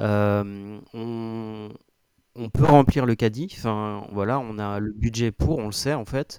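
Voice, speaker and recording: In a very clean recording with a silent background, a man with a fairly low pitch and a dark, mellow tone speaks at a very slow pace with fairly even intonation. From north-eastern France, near Reims. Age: 30s. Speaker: IT support worker, coaching client. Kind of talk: interview testimony. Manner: halting, many hesitations.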